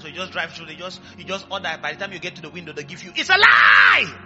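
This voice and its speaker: Over music in the background, a man talks in an animated tone at a very fast pace. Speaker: pastor. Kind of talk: sermon with fervent prayer and call-and-response. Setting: church with live congregation. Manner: fervent, animated, urging the congregation to shout and pray aloud.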